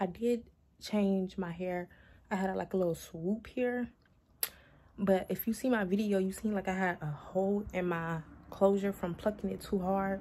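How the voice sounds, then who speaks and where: A woman speaks at a moderate pace and medium pitch in a dark, mellow, somewhat breathy tone with fairly even intonation and long, frequent pauses. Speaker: lifestyle vlogger. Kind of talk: casual vlog.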